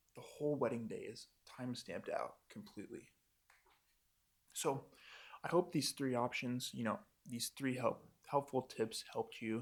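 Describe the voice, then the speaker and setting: He is a man with an American accent and an ordinary speaking voice at a medium pitch. His pace is moderate and his pitch variation ordinary. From Montana, USA. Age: 20s. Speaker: wedding filmmaker. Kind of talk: casual talk to camera. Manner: casual, upbeat.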